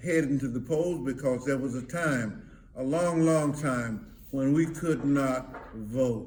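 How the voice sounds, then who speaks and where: A man speaks at a very slow pace. His pitch is medium, with ordinary variation. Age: 80s+. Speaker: reverend. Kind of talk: elder's words of advice to camera. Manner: slow, hesitant.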